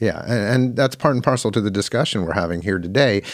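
Recorded very cleanly against a silent background, a man talks with an American accent. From San Francisco, California. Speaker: podcast host. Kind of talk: interview conversation.

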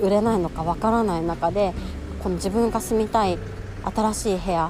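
There is noticeable background noise in this clip. Through it, a woman speaks at a medium pitch. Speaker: podcast host, working mother. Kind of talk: casual solo monologue. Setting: outdoors, walking during lunch break.

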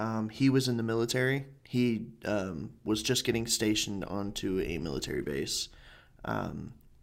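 An ordinary speaking voice is heard here. Pitch moves up and down in an ordinary way. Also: man. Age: 20s. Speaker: podcast host. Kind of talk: casual chat.

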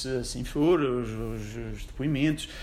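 There is audible room echo as a man speaks at a medium pitch. His pace is fairly slow. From Portugal, Madeira (Funchal). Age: 20s. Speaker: lawyer. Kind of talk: casual interview.

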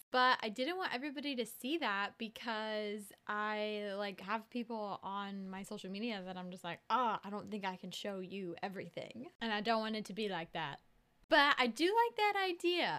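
Mumbling with an American accent, a woman speaks at a fairly high pitch with lively intonation and a bright, sharp tone. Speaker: podcast host. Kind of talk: casual chat. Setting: video call. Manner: fast talker; mumbles.

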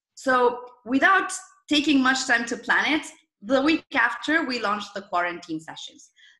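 A woman uses a raised, projected voice at a high pitch and a moderate pace. Her pitch swings very widely and her loudness shifts in big swings. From Argentina. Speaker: startup founder, former journalist. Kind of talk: interview.

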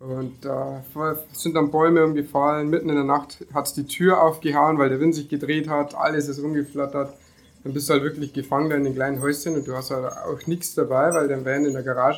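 At a fairly quick pace, a man speaks in a flat monotone at a fairly high pitch. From Lower Bavaria, Germany (near Deggendorf). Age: 20s. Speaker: van-life traveller, former car painter. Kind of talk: casual interview.

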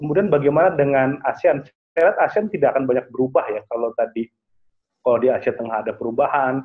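Very fast and fairly high-pitched, a man speaks with ordinary pitch variation. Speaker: international relations analyst. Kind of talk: online webinar talk. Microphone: connection dropped.

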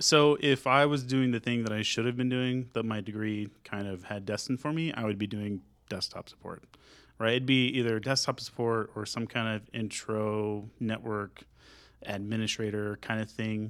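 Using an ordinary speaking voice with an American accent, a man talks at a moderate pace and medium pitch with fairly even intonation. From North Texas (Sanger, near Denton). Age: 20s. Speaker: tech community organizer and web developer. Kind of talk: casual interview chat.

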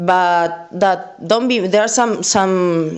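Very slowly and with fairly even intonation, a woman speaks at a fairly low pitch in an Argentine accent. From Argentina. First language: Spanish. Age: 30s. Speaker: content creator. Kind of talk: recorded testimony. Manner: halting, many fillers and repetitions.

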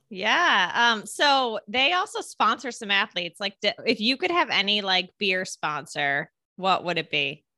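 A woman's medium-pitched, bright, sharp voice in an American accent, fairly slow with very wide pitch swings and hardly any pauses, dry and close with no echo. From upstate New York. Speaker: podcast host. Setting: video call.

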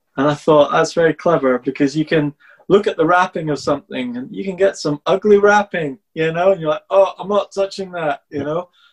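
This man talks at a fairly quick pace with hardly any pauses, using a normal speaking voice at a fairly high pitch with ordinary pitch variation, the sound dry and close with no echo. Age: 50s. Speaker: podcast host and dyslexia coach. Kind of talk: interview.

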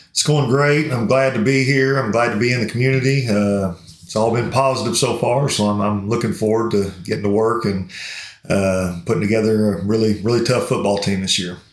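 With a Kentucky accent, a man at medium pitch talks at a fairly quick pace with ordinary pitch variation, amid noticeable background noise and audible room echo. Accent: Kentucky Southern US. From Somerset, Kentucky. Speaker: high school football coach. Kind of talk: interview.

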